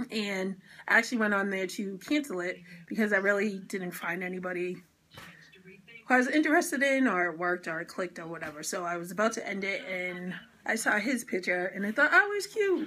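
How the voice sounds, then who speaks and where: Speaking in a Boston accent, a woman has a medium pitch and a bright, sharp tone. Her pace is fairly quick and her intonation lively. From Boston, Massachusetts. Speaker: vlogger. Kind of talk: casual chat.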